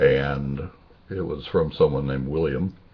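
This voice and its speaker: A man's very deep, low voice at a fairly slow pace, with noticeable background noise. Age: 60s. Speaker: video blogger. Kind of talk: casual personal video monologue. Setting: webcam recording. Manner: halting, many fillers.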